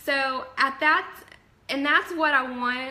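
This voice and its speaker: A woman's high-pitched, raised and projected voice with an animated tone. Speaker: network marketing fitness coach. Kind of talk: live stream talk to viewers. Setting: live video stream from home office.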